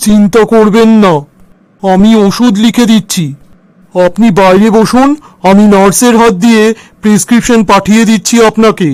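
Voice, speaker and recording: Using a cartoonish character voice, a man speaks high-pitched at a moderate pace, with fairly even intonation and very even loudness. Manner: calm, sly.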